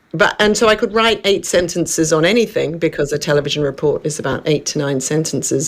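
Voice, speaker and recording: A woman with an Australian accent, fairly low-pitched, with ordinary pitch variation, a very fast pace and hardly any pauses. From Western Australia, Perth. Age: 60s. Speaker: wellness coach, former journalist and TV producer. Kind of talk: radio interview.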